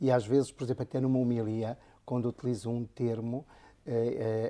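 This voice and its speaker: In a northern Portuguese accent, a man speaks at a medium pitch with a dark, mellow tone on a very clean recording with a silent background. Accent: northern Portuguese accent, kept. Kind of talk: interview conversation.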